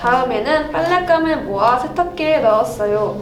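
A woman with lively intonation talks at a fairly slow pace while music plays in the background. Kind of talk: storytelling read-aloud of a picture book.

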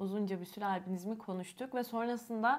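A woman speaks at a moderate pace with a fairly high pitch and ordinary pitch variation. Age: 20s. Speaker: YouTuber with albinism. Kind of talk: casual chat. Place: home room. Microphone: lapel.

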